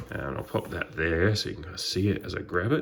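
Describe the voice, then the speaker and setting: A man talks with a very deep, low pitch and ordinary pitch variation. Noticeable background noise runs underneath. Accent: Australian. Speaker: trading card YouTuber. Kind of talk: unboxing video. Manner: hesitant, many fillers.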